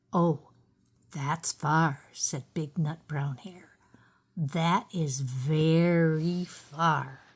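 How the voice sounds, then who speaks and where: In a very clean recording with a silent background, a put-on character voice at middle pitch moves at a very slow pace. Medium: read story. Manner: warm, gentle.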